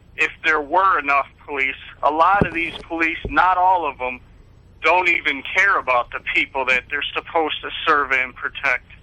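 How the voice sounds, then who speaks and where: A man with an American accent, fairly high in pitch, at a moderate pace with ordinary pitch variation, amid noticeable background noise. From Buffalo, New York. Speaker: activist. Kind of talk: TV interview. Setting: TV studio.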